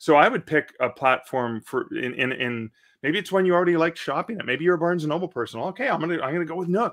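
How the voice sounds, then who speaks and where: Over a quiet background, a man with a Canadian accent speaks at a very fast pace, his high pitch carrying lively intonation. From Canada. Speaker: author and publishing podcast host; publishing podcast host. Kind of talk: live Q&A stream. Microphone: studio mic.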